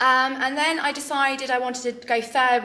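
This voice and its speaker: Fairly quick speech from a woman, with noticeable background noise behind it. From England, Northamptonshire (Kettering) and Lincoln. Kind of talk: interview testimony. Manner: hesitant with frequent fillers.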